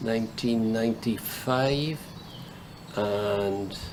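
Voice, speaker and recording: While a man talks, audible room echo mixes with noticeable background noise. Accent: Welsh. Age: 70s. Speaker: coracle fisherman. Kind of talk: interview.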